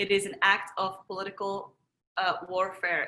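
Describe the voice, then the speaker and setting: A woman speaks with a Moroccan accent at a fairly slow pace. Her tone is bright and sharp. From Morocco, Marrakesh. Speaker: energy healer and wellness teacher. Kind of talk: workshop presentation.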